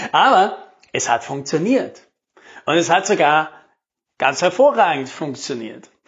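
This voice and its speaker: The man's fairly high voice moves through very wide pitch swings. He speaks at a fairly slow pace with long, frequent pauses. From South Tyrol, Italy. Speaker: podcast host, sales and marketing coach. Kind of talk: solo podcast monologue. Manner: casual, conversational.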